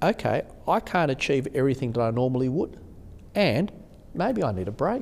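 With an Australian accent, a man of medium pitch speaks with lively intonation. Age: 50s. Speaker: bishop. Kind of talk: interview conversation.

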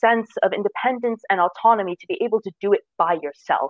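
A woman with a New Jersey accent talks at a fairly quick pace, her fairly high pitch making very wide swings. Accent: American, New Jersey. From US, New Jersey. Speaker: design student. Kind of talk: interview.

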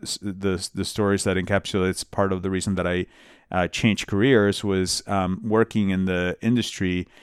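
On a very clean recording with a silent background, a man with a fairly low pitch talks at a moderate pace with fairly even intonation. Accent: Spanish. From Colombia, Bogota; moved to the US at 13. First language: Spanish. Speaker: immigrant rights nonprofit director. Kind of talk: interview conversation.

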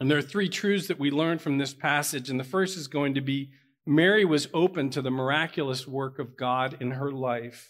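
On a very clean recording with a silent background, a man with an American accent speaks in a plain, everyday voice, his pitch fairly high and its variation ordinary. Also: moderate pace. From Pittsburgh, Pennsylvania. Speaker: pastor. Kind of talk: sermon. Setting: church with congregation.

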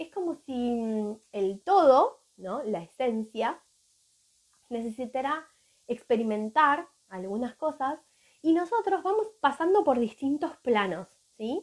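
In a Rioplatense accent, a woman with a high pitch speaks at a very slow pace with very wide pitch swings. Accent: Argentine Rioplatense Spanish. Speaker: holistic therapist. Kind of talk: live stream talk.

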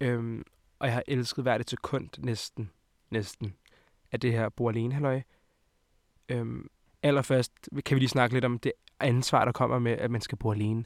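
Medium-pitched male speech, fairly slow, with long, frequent pauses and a dry, close sound with no echo. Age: 20s. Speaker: podcast host. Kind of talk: casual chat.

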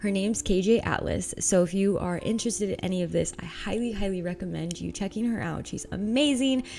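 Over noticeable background noise, a woman with a medium pitch, ordinary pitch variation and an animated tone talks at a fairly quick pace with hardly any pauses. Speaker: podcast host. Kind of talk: casual monologue. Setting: home loft.

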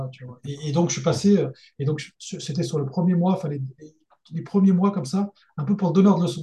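A man's fairly high, dark, mellow voice at a fairly quick pace, with ordinary pitch variation. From France, Lyon region. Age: 30s. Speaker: engineer and freelance mentor. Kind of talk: casual interview.

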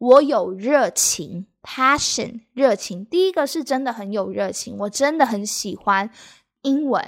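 A woman with a Taiwanese accent speaks at a fairly slow pace in a fairly high pitch, her lively intonation paired with big swings in loudness, on a very clean recording with a silent background. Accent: Taiwanese Mandarin accent in English. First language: Mandarin Chinese. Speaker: Mandarin teacher. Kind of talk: bilingual language lesson podcast. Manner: code-switching between Mandarin and English.

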